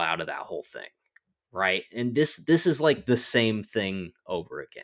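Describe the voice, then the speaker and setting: A man with a normal speaking voice, medium pitch, fairly slow pace and lively intonation. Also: very clean recording, silent background. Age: 30s. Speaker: podcast co-host. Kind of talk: casual chat.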